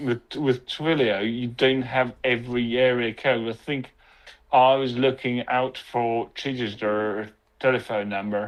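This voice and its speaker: A man with a medium pitch delivers his words at a fairly slow pace in a monotone, flat intonation. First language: Latvian. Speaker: developer. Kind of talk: casual chat.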